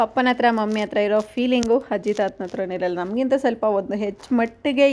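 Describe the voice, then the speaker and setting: Over light background noise, a woman uses an unremarkable speaking voice, fairly high in pitch with fairly even intonation. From Karnataka, India. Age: 20s. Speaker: vlogger; village vlogger. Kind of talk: vlog narration. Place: farm. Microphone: phone near.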